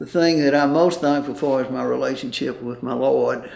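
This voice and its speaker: Noticeable background noise and audible room echo around a man at a moderate pace. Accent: Mississippi. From US South, Mississippi (Lexington). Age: 80s+. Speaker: retired banker. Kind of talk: interview. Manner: halting.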